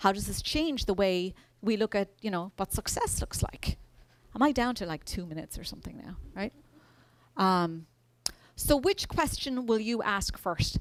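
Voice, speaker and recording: A woman speaks at a moderate pace with a medium pitch, lively intonation and an animated tone. Her long, frequent pauses sit in a very clean recording with a silent background. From Ireland. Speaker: agile coach and conference speaker. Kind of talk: conference talk. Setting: stage with audience.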